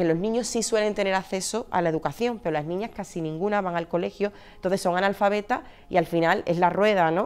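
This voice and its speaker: Very fast in pace, a woman speaks at a medium pitch. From Andalusia, Seville. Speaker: charity regional manager. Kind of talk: interview testimony. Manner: halting, many fillers.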